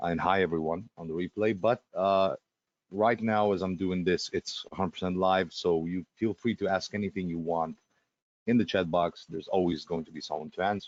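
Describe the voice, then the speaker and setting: Talking at a fairly quick pace, a man with a non-native accent uses a very deep, low voice and fairly even intonation. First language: Russian. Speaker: webinar presenter. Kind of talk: live sales webinar. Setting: live webinar. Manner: fast; hesitant, many fillers.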